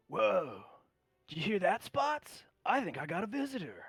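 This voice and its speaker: At a moderate pace, a man puts on a character voice pitched high. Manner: loud, surprised.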